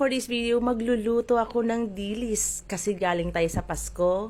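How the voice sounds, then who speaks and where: In a very clean recording with a silent background, a woman speaks at a moderate pace in a playful tone. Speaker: cooking vlogger. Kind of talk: cooking tutorial. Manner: chatty, playful.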